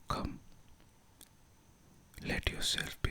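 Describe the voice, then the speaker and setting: Someone whispers in a calm tone at a very slow pace over noticeable background noise. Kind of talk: guided meditation. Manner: whispered; slow, calm.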